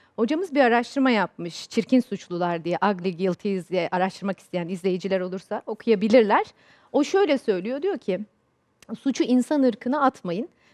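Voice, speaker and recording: Against a quiet background, a woman with a fairly high voice talks at a moderate pace with lively intonation. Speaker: corporate trainer and author. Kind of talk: TV panel discussion. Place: studio. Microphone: headset.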